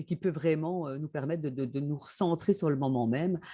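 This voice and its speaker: A woman speaks in a dark, mellow tone with vocal fry and ordinary pitch variation. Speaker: author and former chemical engineer. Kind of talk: interview. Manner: hesitant, many fillers.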